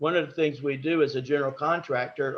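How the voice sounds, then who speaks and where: In a Southern US accent, a man speaks at a moderate pace with a somewhat breathy voice. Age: 60s. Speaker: home inspector. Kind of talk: business presentation at a meeting. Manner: halting, with repeated words.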